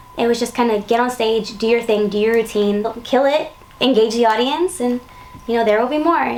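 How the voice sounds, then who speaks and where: Noticeable background noise under a woman's fairly high pitch. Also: ordinary pitch variation, fairly quick pace. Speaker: pop singer. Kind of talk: interview.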